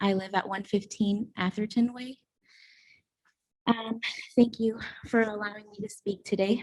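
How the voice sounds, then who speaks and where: This woman talks at a fairly slow pace in a medium pitch. Her delivery is monotone and flat, and her voice is somewhat breathy. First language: Spanish. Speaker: public commenter at council meeting. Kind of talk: public comment speech. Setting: council meeting chamber. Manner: hesitant, many fillers.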